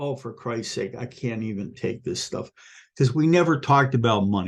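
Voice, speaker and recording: Against a quiet background, a man talks at a moderate pace in an animated tone with vocal fry. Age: 60s. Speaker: retired math teacher. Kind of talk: casual vlog monologue. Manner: halting.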